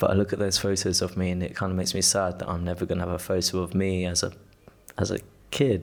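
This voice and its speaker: With a British accent, a man speaks at a very fast pace in a very deep, low pitch, his intonation monotone and flat, with long, frequent pauses. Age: 20s. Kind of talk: casual chat. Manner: loud; halting.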